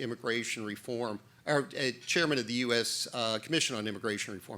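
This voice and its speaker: The voice is loud, with a bright, sharp tone. The recording is very clean, with a silent background. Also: man. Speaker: former immigration judge, policy fellow. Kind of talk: panel discussion.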